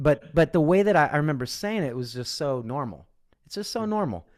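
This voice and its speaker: With a Midwestern American accent, a man speaks at a moderate pace and a fairly high pitch, with very wide pitch swings, in a very clean recording with a silent background. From Midwestern US, Kansas. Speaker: voice and speaking coach, former singing teacher. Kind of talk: interview answer.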